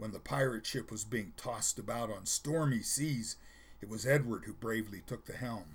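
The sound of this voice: The pitch moves in an ordinary way through this unforced reading voice.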